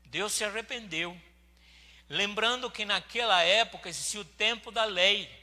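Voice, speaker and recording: At a fairly slow pace, a man projects a raised, high-pitched voice with a bright, sharp tone and fairly even intonation. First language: not Portuguese (speaking Portuguese). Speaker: pastor. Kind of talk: sermon. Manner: halting.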